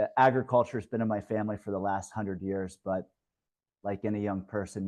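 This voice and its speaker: A man with an American accent speaks at a fairly low pitch and a fairly quick pace. His intonation is monotone and flat, against a quiet background. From US Midwest, Ohio. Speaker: investment fund manager. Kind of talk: webinar presentation.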